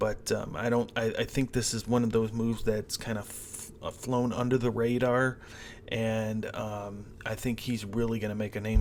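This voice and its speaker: A man at medium pitch, with monotone, flat intonation and a moderate pace. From US Midwest, Cleveland, Ohio. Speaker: sports betting host. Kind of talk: sports betting preview monologue. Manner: casual with many fillers.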